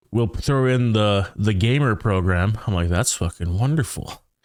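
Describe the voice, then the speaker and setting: A man's fairly low voice at a fairly slow pace, on a very clean recording with a silent background. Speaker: podcast co-host, gamer. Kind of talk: casual chat.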